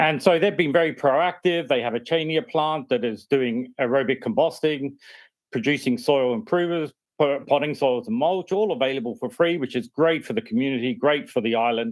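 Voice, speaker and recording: With an Australian accent, a man talks at a moderate pace in a fairly high pitch, his intonation lively. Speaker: university researcher. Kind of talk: project pitch. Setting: remote video call.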